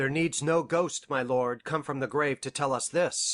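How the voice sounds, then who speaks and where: A raspy, put-on character voice from a man, fairly high in pitch, with fairly even intonation and a quiet background. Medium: audio drama.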